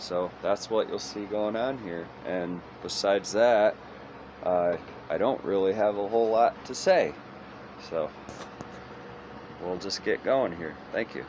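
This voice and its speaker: Long, frequent pauses break up speech at a fairly slow pace. Pitch varies in an ordinary way, and background noise is noticeable. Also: man, fairly low pitch for a man. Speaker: chainsaw wood carver. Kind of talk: tutorial. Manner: halting, trips over words.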